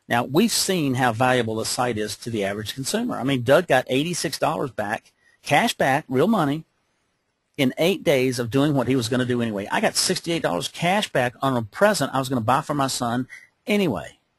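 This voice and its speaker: A somewhat breathy man at a fairly quick pace, lively intonation, dry and close with no echo. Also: medium pitch for a man. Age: 60s. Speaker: business opportunity presenter. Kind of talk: webcast sales pitch. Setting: webcast call. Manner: animated.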